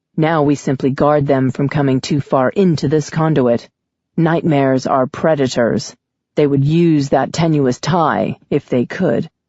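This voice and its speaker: Someone puts on a raspy character voice, speaking at a moderate pace and a low-to-middle pitch. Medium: read story. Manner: toneless, emotionless, evasive.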